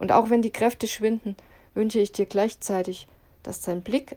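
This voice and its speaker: A woman's dark, mellow tone with fairly even intonation, on a very clean recording with a silent background. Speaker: devotional podcast host. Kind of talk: reading aloud.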